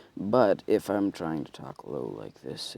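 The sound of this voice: Putting on a character voice, a man speaks at a fairly slow pace with a very deep, low pitch and a raspy sound.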